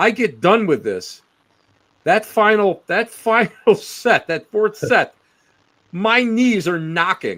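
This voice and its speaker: With an American accent, a man speaks at a very slow pace in a high pitch. His tone is bright and sharp, with ordinary pitch variation. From Western New York State. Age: 60s. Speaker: paranormal researcher. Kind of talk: casual chat.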